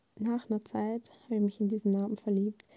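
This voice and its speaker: Dark and mellow in tone, a woman's voice sits at a fairly high pitch. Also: dry, close sound with no echo. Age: 20s. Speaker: podcast host, media management student. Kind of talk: casual monologue, unscripted. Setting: home, on bed under a blanket. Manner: spontaneous, talkative.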